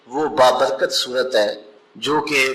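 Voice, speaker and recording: Speaking in an ordinary speaking voice, a man sits fairly high in pitch. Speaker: Islamic preacher. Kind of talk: religious sermon (bayan).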